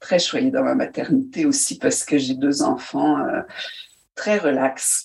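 Speaking very slowly, a woman lets her pitch swing very widely. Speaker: storyteller and actress. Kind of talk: interview.

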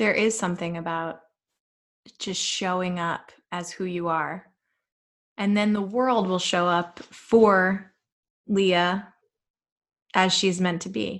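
Recorded very cleanly against a silent background, a woman speaks at a very slow pace with long, frequent pauses, her medium-pitched voice following fairly even intonation. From Jersey Shore, New Jersey. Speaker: podcast host. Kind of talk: casual interview chat.

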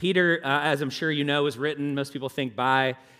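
Using ordinary pitch variation, a man speaks at a fairly quick pace in a fairly high pitch. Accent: Southern US. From US South. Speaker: pastor. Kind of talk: sermon. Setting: church. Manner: informal, halting with fillers.

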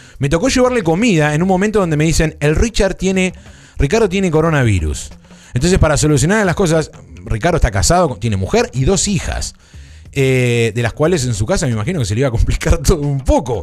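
Speaking very fast with an Argentine accent, a man uses a fairly high pitch that swings very widely. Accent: Rioplatense Argentine Spanish. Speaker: podcast host. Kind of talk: casual live-stream chat. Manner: animated.

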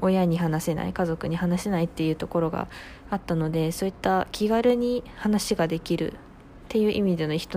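A plain, everyday voice from a woman, fairly low in pitch, at a fairly quick pace with ordinary pitch variation. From rural Japan. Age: 20s. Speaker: radio personality, new company employee. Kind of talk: solo radio talk. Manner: polite, casual.

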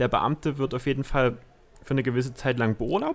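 With a normal speaking voice, a man of medium pitch talks at a fairly quick pace and ordinary pitch variation. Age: 20s. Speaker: guest, police officer. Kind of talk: casual chat.

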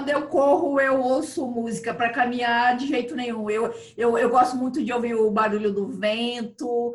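Amid audible room echo, a woman speaks at a high pitch and a moderate pace with fairly even intonation. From Brazil, Mato Grosso (Chapada dos Guimarães). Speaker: chef and pilgrim hiker. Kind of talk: casual interview chat.

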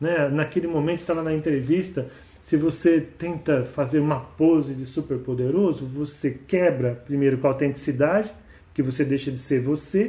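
With a dark, mellow tone and a somewhat breathy quality, a man of fairly high pitch speaks at a moderate pace with ordinary pitch variation. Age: 50s. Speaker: podcast host and author. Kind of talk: monologue podcast talk.

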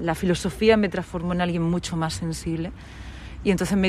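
A woman speaks at a fairly quick pace with a fairly low pitch, in a plain, everyday voice. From Murcia region, Spain (Lorca). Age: 40s. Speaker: radio presenter. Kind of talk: interview.

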